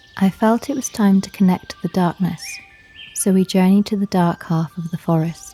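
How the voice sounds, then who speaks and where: A woman talks at medium pitch and a moderate pace, her loudness swinging widely and her pitch varying in an ordinary way. Music plays in the background, and the sound is dry and close with no echo. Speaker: witch-themed ASMR storyteller. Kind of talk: ASMR folklore storytelling, first-person forest narration. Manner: soft-spoken, calm, relaxing.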